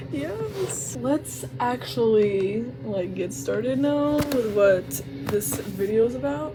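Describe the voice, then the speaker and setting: In an American accent, a woman with a very deep, low pitch speaks at a very slow pace with very wide pitch swings, audible room echo, and noticeable background noise. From United States. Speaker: vlogger. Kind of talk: casual vlog monologue. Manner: animated.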